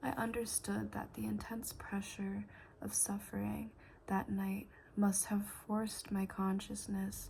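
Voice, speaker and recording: This speaker is soft-spoken. Their delivery is fairly slow. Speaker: ASMR content creator. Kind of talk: soft-spoken ASMR book reading. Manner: soft-spoken, quiet, slow.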